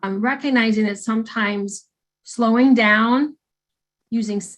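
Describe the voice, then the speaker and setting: A woman with an American accent speaks at a fairly slow pace in a somewhat breathy, fairly high voice with fairly even intonation, on a very clean recording with a silent background. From northern US. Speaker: clinical counselor and trainer. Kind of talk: training lecture. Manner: halting, many fillers and restarts.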